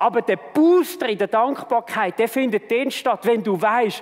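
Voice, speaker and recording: In a Swiss accent, the speaker uses lively intonation at a fairly slow pace, with noticeable background noise behind the voice. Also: man. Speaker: church leader and preacher. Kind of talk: sermon.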